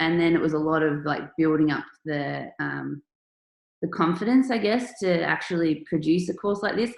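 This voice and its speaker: A woman talks with an Australian accent at a moderate pace. Her pitch is very deep and low. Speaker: artist and online workshop presenter. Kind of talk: online workshop presentation.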